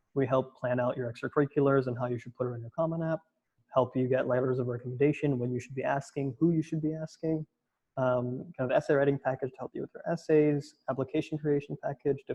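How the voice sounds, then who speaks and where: A man speaks very fast in a fairly high pitch. His voice is somewhat breathy, with fairly even intonation. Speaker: college admissions counselor. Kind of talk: webinar presentation. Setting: online webinar.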